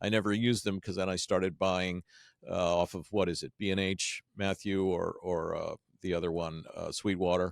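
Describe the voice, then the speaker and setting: A man's very deep, low voice at a fairly quick pace, dry and close with no echo, in a very clean recording with a silent background. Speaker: podcast studio co-founder. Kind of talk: interview conversation. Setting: office podcast studio. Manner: loud; animated.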